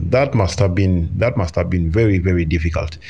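A man with an East African accent speaks with ordinary pitch variation. Noticeable background noise is present. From Uganda. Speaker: podcast host. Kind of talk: interview conversation. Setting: live podcast.

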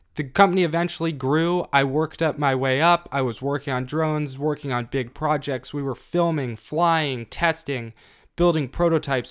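The speaker has a normal speaking voice and fairly even intonation, moving at a moderate pace with hardly any pauses. The recording is very clean, with a silent background. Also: man. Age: 20s. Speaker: podcast co-host, economics student. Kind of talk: casual chat.

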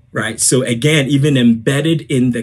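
Ordinary pitch variation marks this somewhat breathy voice. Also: man. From Ghana. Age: 30s. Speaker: former minister. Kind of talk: interview.

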